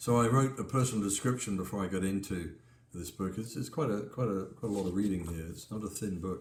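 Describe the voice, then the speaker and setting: Amid audible room echo, a man with a somewhat breathy voice speaks at a very fast pace, his fairly low pitch showing ordinary variation. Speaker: pastor and author. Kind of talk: book talk with scripture reading. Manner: halting.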